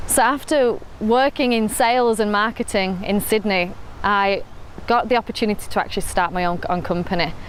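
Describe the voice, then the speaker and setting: Speaking fairly quickly with a northern English accent, a woman with a fairly high pitch keeps her loudness very even and her pitch variation ordinary. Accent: northern English, noticeable to Australians. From northern England, Rochdale. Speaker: entrepreneur. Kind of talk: personal story interview. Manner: casual with fillers.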